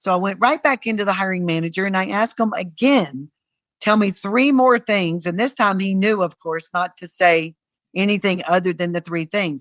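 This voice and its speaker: A woman speaks at a moderate pace with ordinary pitch variation in an unremarkable speaking voice. The sound is dry and close with no echo, over a quiet background. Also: medium pitch for a woman. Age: 60s. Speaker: cruise line executive. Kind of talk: interview. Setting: podcast.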